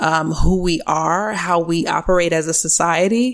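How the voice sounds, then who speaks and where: A woman with an unremarkable speaking voice talks at a fairly slow pace, with fairly low pitch and fairly even intonation. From US East Coast, small-town New Jersey. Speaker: iOS developer and tech educator. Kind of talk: casual interview.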